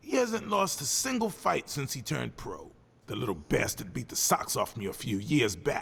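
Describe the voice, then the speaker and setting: A man puts on a gruff character voice, fairly high in pitch, at a moderate pace. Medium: video game. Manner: gruff, stammering.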